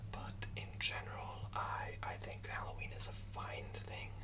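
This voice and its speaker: A man whispers while noticeable background noise is heard. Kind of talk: ASMR whispered ramble. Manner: whispered.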